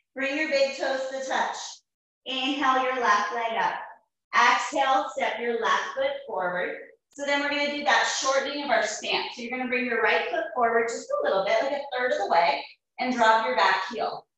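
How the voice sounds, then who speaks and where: Strong room echo surrounds a woman speaking at a moderate pace in a high pitch with ordinary pitch variation. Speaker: yoga teacher. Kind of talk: yoga class instruction. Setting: online video class. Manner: calm, even cueing in short imperative phrases, paced to the breath. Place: home room. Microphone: camera far.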